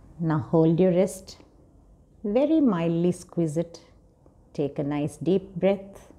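In a calm, soothing, dark and mellow tone, a woman speaks at a fairly low pitch with ordinary pitch variation and a very slow pace, leaving long, frequent pauses. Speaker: counseling psychologist. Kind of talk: guided meditation. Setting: video. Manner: calm, slow, soothing; gentle, instructive. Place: home room.

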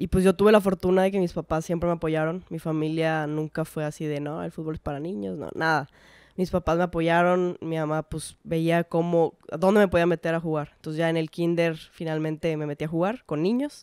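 Speaking fairly quickly with hardly any pauses, a woman uses fairly even intonation at a fairly low pitch, with a dry, echo-free sound over a quiet background. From Mexico, mostly Monterrey; Mexico. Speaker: professional footballer; guest. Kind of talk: casual interview chat. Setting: in person. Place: home room. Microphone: handheld.

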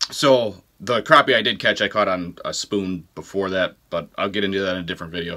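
Low-pitched and bright, sharp in tone, a man speaks at a fairly quick pace. His pitch variation is ordinary.

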